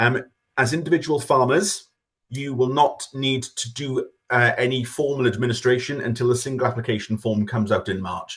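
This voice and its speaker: Somewhat breathy, this man speaks at a medium pitch. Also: ordinary pitch variation. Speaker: government official presenting farming scheme. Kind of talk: webinar presentation. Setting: online webinar. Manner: fast.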